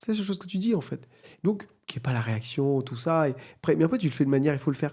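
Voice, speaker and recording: A man's somewhat breathy voice with a dark, mellow tone, ordinary pitch variation and a very fast pace, on a very clean recording with a silent background. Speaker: AI entrepreneur and conference speaker. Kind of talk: podcast interview.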